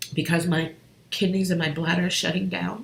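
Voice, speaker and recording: A woman's fairly low, fairly even voice in audible room echo. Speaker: relationship coach and healer. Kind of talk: personal testimony on a live stream. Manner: halting.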